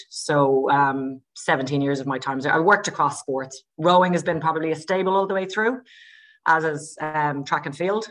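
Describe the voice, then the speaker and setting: Against a quiet background, a woman with an Irish accent speaks at a moderate pace. Her pitch is very deep and low, with ordinary variation. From Ireland. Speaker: sports scientist. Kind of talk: podcast interview. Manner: hesitant, many fillers.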